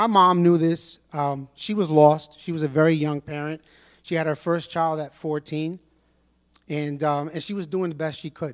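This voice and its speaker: A man with a New York accent speaks at a fairly high pitch and a moderate pace. His intonation is fairly even, on a very clean recording with a silent background. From New York City, Brooklyn. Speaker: church member giving testimony. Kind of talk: testimony.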